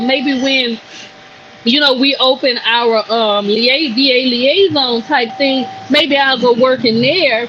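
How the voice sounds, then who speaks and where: A woman with a Louisiana accent speaks at a high pitch with ordinary pitch variation and very even loudness. Noticeable background noise runs beneath her. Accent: Louisiana Southern. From Louisiana, US South. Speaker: cigar brand owner. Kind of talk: podcast interview. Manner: animated.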